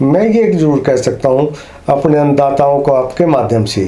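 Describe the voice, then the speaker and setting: A man's fairly high voice with audible room echo and noticeable background noise. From Haryana, Karnal district. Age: 60s. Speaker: interviewee, writer of opinions. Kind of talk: interview.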